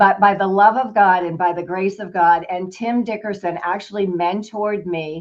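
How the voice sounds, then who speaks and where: A normal speaking voice from a woman at medium pitch, moderate in pace, with fairly even intonation. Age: 60s. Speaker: financial advisor and business owner. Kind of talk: interview.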